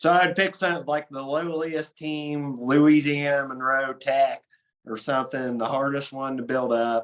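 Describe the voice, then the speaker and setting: A man in an Appalachian accent, fairly high in pitch, with fairly even intonation and a fairly slow pace. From southern Ohio, Appalachian region. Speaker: sports podcast host. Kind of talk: casual chat.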